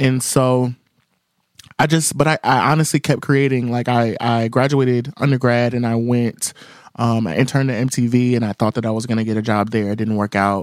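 A man with an ordinary speaking voice talks at a moderate pace. His pitch is medium and his intonation fairly even. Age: 20s. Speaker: singer and music journalist. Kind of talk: casual interview.

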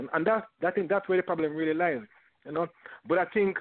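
A man speaks with a Jamaican accent. The accent is clear in his delivery. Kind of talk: casual chat. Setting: studio.

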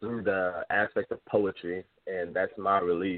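Here a man is speaking. He goes at a fairly slow pace. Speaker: caller. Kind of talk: casual chat. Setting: phone call.

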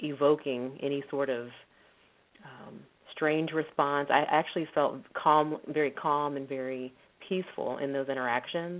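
In an American accent, a woman speaks at a very deep, low pitch, with fairly even intonation and a moderate pace. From Texas. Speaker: psychologist and professor. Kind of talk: radio interview.

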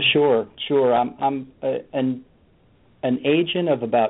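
With an American accent, a man speaks very slowly at a medium pitch, with ordinary pitch variation. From Florida. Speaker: insurance agent. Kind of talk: phone interview. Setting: phone call.

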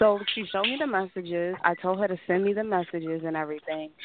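A woman with an American accent, an unremarkable speaking voice, at a moderate pace. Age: 20s. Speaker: caller. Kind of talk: casual chat.

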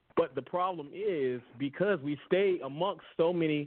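The speaker is a man. Ordinary pitch variation runs through his speech. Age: young. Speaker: podcast guest. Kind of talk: casual chat. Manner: halting.

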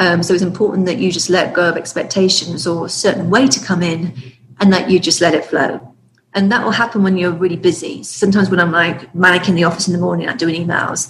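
A woman talks at a very fast pace. She speaks with an English accent. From UK. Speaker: author and business consultant. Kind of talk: casual interview chat.

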